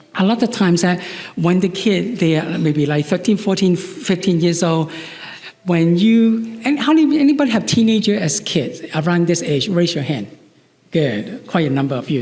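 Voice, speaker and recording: The speaker's pitch swings very widely at a moderate pace, with noticeable background noise and audible room echo. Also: man. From Chinese heritage. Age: 60s. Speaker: psychologist. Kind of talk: lecture. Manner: halting, with repetitions.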